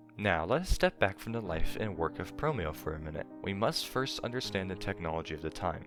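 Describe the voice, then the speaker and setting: Over music in the background, a man with a fairly low pitch talks at a fairly quick pace with lively intonation and hardly any pauses. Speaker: YouTube documentary narrator. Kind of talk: documentary narration.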